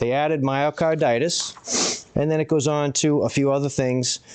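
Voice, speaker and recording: A man's voice, medium in pitch. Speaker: public commenter. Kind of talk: public comment. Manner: fast.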